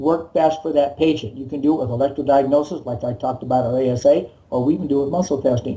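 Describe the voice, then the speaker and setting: A man talks at a very fast pace in a fairly high pitch, sounding somewhat breathy. His tone is dark and mellow. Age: 60s. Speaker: chiropractor. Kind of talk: interview.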